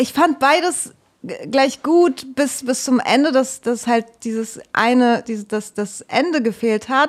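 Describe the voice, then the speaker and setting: A woman's high voice at a very slow pace. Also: ordinary pitch variation. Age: 20s. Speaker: artist, actress, podcast co-host. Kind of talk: casual comedic chat and improvised pitches.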